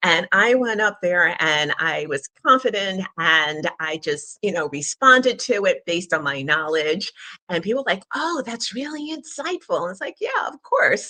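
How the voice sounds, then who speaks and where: A woman's bright, sharp tone with very wide pitch swings, hardly any pauses and a dry, close sound with no echo. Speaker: communication strategist and company founder. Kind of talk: interview. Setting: radio studio broadcast, livestream. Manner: deliberately raised pitch, projecting; confident, clear.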